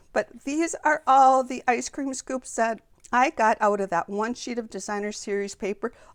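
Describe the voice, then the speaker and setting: With a normal speaking voice at a fairly high pitch, a woman talks at a moderate pace with ordinary pitch variation, the sound dry and close with no echo on a very clean recording with a silent background. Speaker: papercraft demonstrator. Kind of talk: tutorial. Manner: casual with fillers and restarts.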